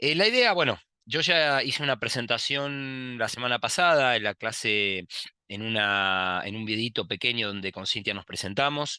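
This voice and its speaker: Against a quiet background, a man with a bright, sharp tone speaks at a moderate pace and medium pitch. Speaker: university lecturer. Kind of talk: recorded lecture. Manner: hesitant, many fillers and repetitions.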